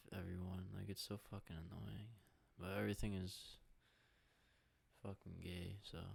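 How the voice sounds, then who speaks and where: A man's fairly low voice carries vocal fry. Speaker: podcast host. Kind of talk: casual chat.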